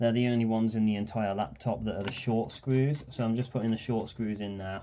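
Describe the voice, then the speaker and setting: Speaking in a Birmingham accent at a fairly quick pace, the voice shows ordinary pitch variation. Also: man. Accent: Birmingham (Brummie). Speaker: electronics repair youtuber. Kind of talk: tutorial. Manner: casual, hesitant with frequent ums.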